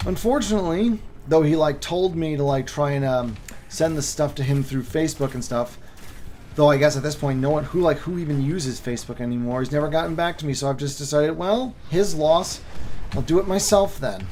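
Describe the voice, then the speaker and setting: A man at a fairly high pitch with ordinary pitch variation, talking fairly quickly amid audible room echo and noticeable background noise. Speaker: YouTube lore creator and author. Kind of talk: casual livestream chat. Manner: halting, many fillers.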